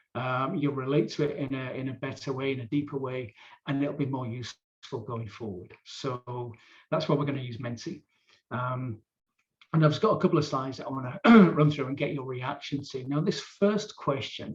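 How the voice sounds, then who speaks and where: A somewhat breathy man at a medium pitch and moderate pace, with ordinary pitch variation. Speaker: workshop facilitator. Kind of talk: live online training session. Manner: informal, hesitant fillers.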